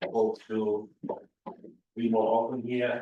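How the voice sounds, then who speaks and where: A man with an Austrian accent at a medium pitch, speaking at a very slow pace with monotone, flat intonation. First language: German. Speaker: community visitor making announcement. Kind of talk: public announcement. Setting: community meeting, speaker system failed.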